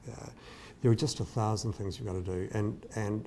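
Over light background noise, a man with a New Zealand accent speaks very fast, his fairly low voice showing ordinary pitch variation. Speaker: entrepreneur. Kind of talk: interview storytelling. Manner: halting, many fillers. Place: kitchen. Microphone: lapel.

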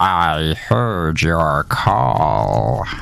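A man puts on a character voice. It is raspy and pitched very deep and low.

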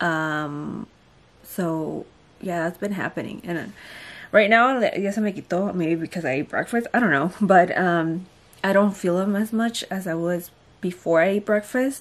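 A woman at a fairly slow pace with ordinary pitch variation. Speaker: pregnant vlogger. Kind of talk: casual vlog chat. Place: home room. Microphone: phone near.

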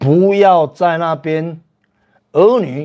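This man's voice is high-pitched. His tone is animated. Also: quiet background. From Taiwan. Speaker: livestream host. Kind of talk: casual livestream chat with viewers. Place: home room. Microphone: lapel.

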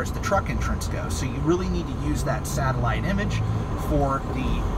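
A man at a moderate pace, with loud background noise. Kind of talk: casual driving vlog tips. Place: car. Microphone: phone near.

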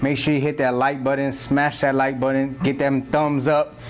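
Over light background noise, a man speaks at a fairly slow pace. His intonation is monotone and flat. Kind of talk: casual vlog intro and tutorial. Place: shop.

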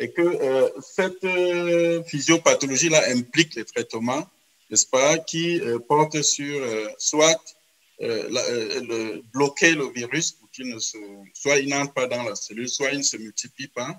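A man's fairly high voice at a very slow pace, with big swings in loudness and ordinary pitch variation. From Cameroon. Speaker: epidemiology professor and co-moderator; epidemiology professor, co-moderator. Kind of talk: moderated webinar. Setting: video call. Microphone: video call.

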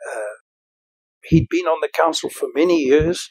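A man's high voice against a quiet background. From South Africa. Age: 80s+. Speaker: retired medical doctor. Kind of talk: interview answer. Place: home room.

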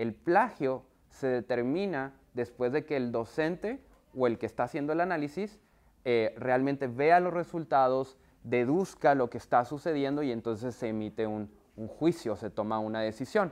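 The speaker uses ordinary pitch variation and keeps a moderate pace. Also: man. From northern Mexico, Monterrey. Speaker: software company trainer for universities. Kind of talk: workshop presentation. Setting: video call with screen share. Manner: conversational, many fillers. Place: classroom. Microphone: lapel.

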